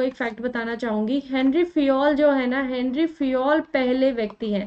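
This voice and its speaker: A woman's high voice at a fairly slow pace. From India. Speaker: online exam-prep teacher. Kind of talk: lecture.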